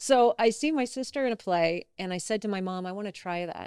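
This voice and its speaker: A woman with an American accent has a plain, everyday voice and lively intonation at a fairly quick pace. The recording is very clean, with a silent background. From US South, North Carolina. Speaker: actress. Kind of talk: casual chat.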